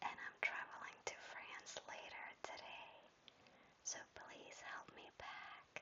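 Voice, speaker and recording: Whispering, a woman goes along at a very slow pace. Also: big swings in loudness. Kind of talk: ASMR travel vlog voice-over. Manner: whispered; soft, calming.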